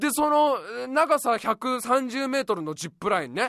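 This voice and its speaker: Lively intonation comes through at a moderate pace in a dry, close recording with no echo. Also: man. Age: 30s. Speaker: radio podcast host. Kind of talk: casual solo monologue. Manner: animated.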